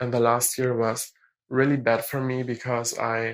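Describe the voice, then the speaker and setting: A very slow delivery in a German accent. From Germany. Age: young. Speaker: caller. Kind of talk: voicemail call.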